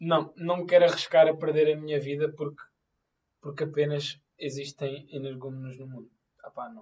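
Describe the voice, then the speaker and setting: With a Lisbon accent, a man speaks at a moderate pace in a fairly high, somewhat breathy voice. His intonation stays fairly even while his loudness swings widely. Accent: European Portuguese, Lisbon area. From Portugal, Amadora area. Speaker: podcast co-host. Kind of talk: casual chat.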